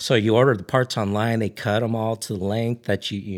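Recorded very cleanly against a silent background, a man with an American accent and an unremarkable speaking voice talks at a moderate pace, his fairly low pitch carried by fairly even intonation. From Ridgecrest, California. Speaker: camping gear business owner and overlander. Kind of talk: casual chat.

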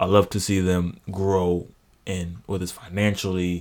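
In an American accent, the speaker talks at a fairly slow pace with fairly even intonation. The recording is very clean, with a silent background. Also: man. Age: 20s. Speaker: college student. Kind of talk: casual chat.

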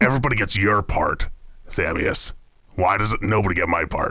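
Doing a put-on character voice, a man sounds raspy. His pitch is fairly low. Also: moderate pace. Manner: irritable, cursing, fussy.

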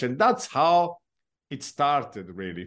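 Against a quiet background, a man talks with an Italian accent. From southern Italy (Taranto). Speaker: pastor and church planter. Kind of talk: interview. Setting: video call.

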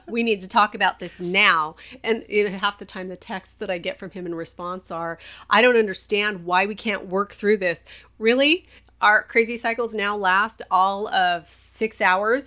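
On a very clean recording with a silent background, a woman speaks at medium pitch and moderate pace, her tone bright and sharp, with big swings in loudness. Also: ordinary pitch variation. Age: 40s. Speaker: podcast co-host, wife with PTSD and depression. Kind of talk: casual chat.

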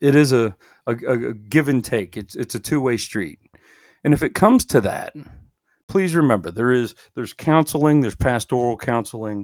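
A man speaks in a normal speaking voice at a moderate pace with lively intonation, recorded very cleanly with a silent background and a dry, close sound with no echo. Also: medium pitch for a man. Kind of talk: Bible teaching podcast. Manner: informal, conversational, with filler words.

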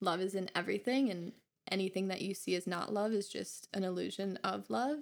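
A woman with an American accent speaks at a fairly quick pace in a medium pitch with ordinary pitch variation, in a plain, everyday voice. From Minnesota, US. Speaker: spiritual seeker, podcast guest. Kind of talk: casual chat. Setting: home studio in bedroom.

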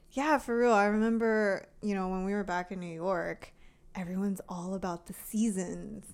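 A woman speaks in a plain, everyday voice at medium pitch with ordinary pitch variation. Her pace is moderate, and the recording is very clean with a silent background. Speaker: podcast co-host. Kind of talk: casual chat.

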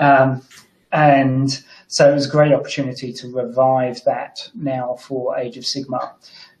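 A man with a medium-pitched, somewhat breathy voice speaks in a flat monotone. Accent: English. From England. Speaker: tabletop wargaming player. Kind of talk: casual chat. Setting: video call.

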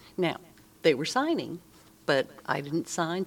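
Someone with an American accent speaks on a very clean recording with a silent background. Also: woman. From US, Army family moving around. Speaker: veteran's daughter. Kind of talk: interview.

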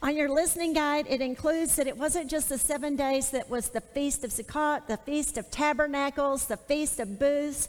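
A woman's high-pitched voice, fairly even in intonation, at a moderate pace with hardly any pauses. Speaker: Bible teacher. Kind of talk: sermon. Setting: stage with audience.

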